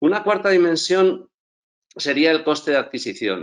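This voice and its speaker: A man's pitch leaps up and down dramatically, with only quiet sound behind him. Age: 60s. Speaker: entrepreneur and school co-founder. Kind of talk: conference talk. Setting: live event stage. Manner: hesitant repetitions.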